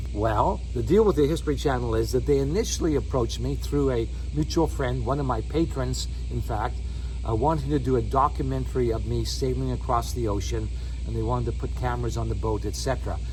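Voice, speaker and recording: A man speaks at a very deep, low pitch in a monotone, flat way. His pace is fairly quick, and there is audible room echo. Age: 60s. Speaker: solo sailor and video blogger. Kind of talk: casual vlog update. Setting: outdoors by his boat.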